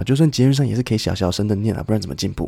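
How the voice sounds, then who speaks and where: Here a man speaks with a dark, mellow tone. The recording is very clean, with a silent background. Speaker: English teacher podcast host. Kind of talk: tutorial. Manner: relaxed, conversational.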